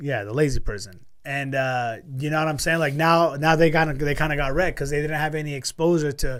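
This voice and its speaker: A man's fairly high voice at a fairly quick pace, with hardly any pauses and audible room echo. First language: Spanish. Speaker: crypto podcast host. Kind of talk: casual chat. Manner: animated.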